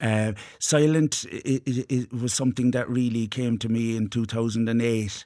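With an Irish accent, a man speaks in a dark, mellow tone at a moderate pace and with fairly even intonation. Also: medium pitch for a man. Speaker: actor and playwright. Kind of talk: radio interview. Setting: studio.

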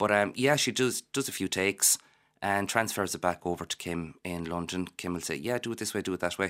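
On a very clean recording with a silent background, a man with a Galway accent talks at a fairly quick pace in a fairly low pitch with ordinary pitch variation. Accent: Irish, Galway. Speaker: florist and parent of young actor. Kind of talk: casual radio interview.

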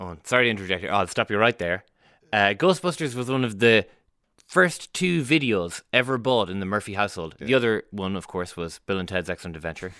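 With an Irish accent, a man talks at a very fast pace in a bright, sharp tone. His pitch is fairly low and his intonation lively. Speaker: radio host. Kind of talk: casual chat. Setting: studio.

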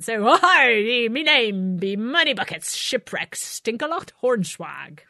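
A female-sounding voice puts on a character voice, pitched high and moving at a fairly slow pace. The background is quiet. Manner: comic, exaggerated.

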